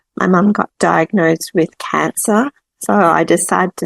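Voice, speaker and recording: In a dry, close recording with no echo, a woman with an Australian accent speaks in a fairly low voice with vocal fry and ordinary pitch variation. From Australia, Melbourne. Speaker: expat traveller. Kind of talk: casual chat.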